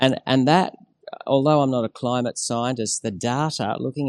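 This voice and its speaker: At a moderate pace, a man with an Australian accent speaks in a dry, close sound with no echo. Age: 50s. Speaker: climate activist and former diplomat. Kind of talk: interview.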